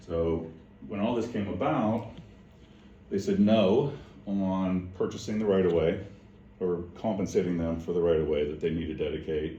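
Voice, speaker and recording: A man with a very deep, low voice and a dark, mellow tone speaks at a moderate pace with ordinary pitch variation. Long, frequent pauses break his speech, and audible room echo is present. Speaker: property owner at city meeting. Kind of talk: meeting discussion.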